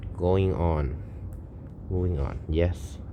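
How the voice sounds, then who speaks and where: A man talks with a Thai accent at a very slow pace. His very deep, low pitch shows ordinary variation. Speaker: programming streamer. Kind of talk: coding tutorial. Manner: thinking aloud, halting.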